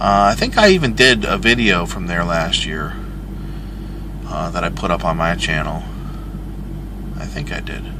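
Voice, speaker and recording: With an American accent, a man speaks at a moderate pace in a very deep, low pitch, with very wide pitch swings, big swings in loudness, and long, frequent pauses, amid audible room echo and noticeable background noise. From Michigan, US. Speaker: truck driver and vlogger. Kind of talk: casual vlog monologue. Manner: rambling, casual with fillers.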